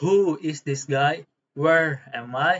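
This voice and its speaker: A fairly high male voice with fairly even intonation. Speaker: university student. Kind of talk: class presentation. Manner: halting.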